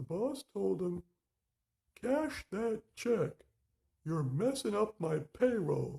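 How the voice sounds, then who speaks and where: A man does a cartoonish character voice pitched high, speaking at a very slow pace with long, frequent pauses. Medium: puppet.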